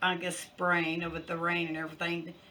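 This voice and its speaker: A woman speaks at a fairly slow pace in a fairly low voice, with audible room echo. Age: 70s. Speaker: cooking channel host. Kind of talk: casual vlog update. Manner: halting, many fillers.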